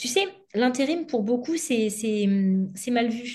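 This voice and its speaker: A woman speaks at a fairly high pitch in a somewhat breathy voice. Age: 30s. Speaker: former bank employee turned entrepreneur. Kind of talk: interview.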